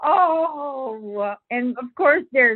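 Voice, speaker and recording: Over music in the background, a woman speaks very slowly with lively intonation. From Philippines. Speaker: debut novelist. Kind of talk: interview.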